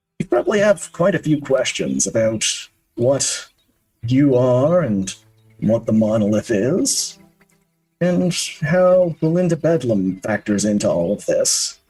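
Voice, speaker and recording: A man's put-on character voice at medium pitch, fairly slow, broken by long, frequent pauses, with faint music in the background. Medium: actual play. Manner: calm, soothing, unhurried.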